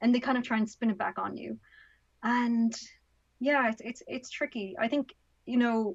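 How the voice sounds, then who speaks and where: Speaking with an Irish accent, a woman uses a fairly high pitch and fairly even intonation at a moderate pace, with long, frequent pauses. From Ireland. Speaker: author and activist. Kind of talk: podcast interview.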